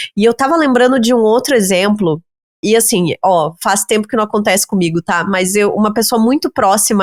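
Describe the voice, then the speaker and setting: At a moderate pace, a plain, everyday voice comes through with a dry, close sound and no echo. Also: woman. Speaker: podcast host. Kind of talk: podcast conversation.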